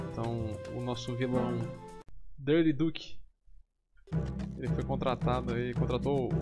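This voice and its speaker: Loud music fills the background. Over it, a man speaks. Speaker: gaming YouTuber. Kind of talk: casual gameplay commentary to camera. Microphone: studio mic.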